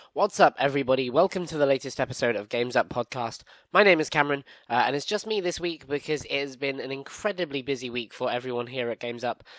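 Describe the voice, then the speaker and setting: A man with a British accent at a fairly high pitch, very fast, with ordinary pitch variation, in a dry, close sound with no echo on a very clean recording with a silent background. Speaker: gaming podcast host. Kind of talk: casual podcast news chat.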